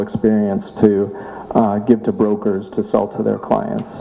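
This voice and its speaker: A man's speech unfolds at a moderate pace, with noticeable background noise behind it. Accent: American. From Boston. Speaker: startup tech co-founder. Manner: halting, repeats words.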